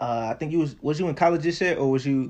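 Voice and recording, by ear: Fast and fairly high-pitched, a man talks with ordinary pitch variation. His tone is slightly mellow.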